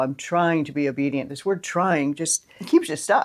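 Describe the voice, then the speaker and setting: On a very clean recording with a silent background, a woman talks at a moderate pace in an unremarkable speaking voice with ordinary pitch variation. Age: 60s. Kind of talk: casual talk to camera.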